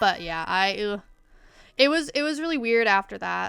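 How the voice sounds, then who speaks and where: Music playing behind a woman's moderately paced speech. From Canada. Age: 20s. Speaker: streamer and artist. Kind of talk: casual chat. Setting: livestream.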